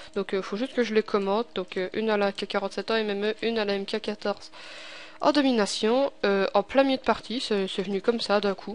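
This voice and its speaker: A woman with a Belgian accent speaks at a medium pitch. She talks at a fairly quick pace with fairly even intonation. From Belgium. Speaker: gaming tutorial youtuber. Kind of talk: tutorial. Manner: casual, hesitant with many fillers.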